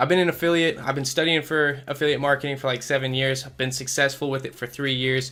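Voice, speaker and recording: Very fast and monotone, a man talks with flat intonation, a fairly high pitch and a bright, sharp tone. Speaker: affiliate marketer, online course creator; online course creator. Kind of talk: product walkthrough tutorial. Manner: stumbling, stuttering at times.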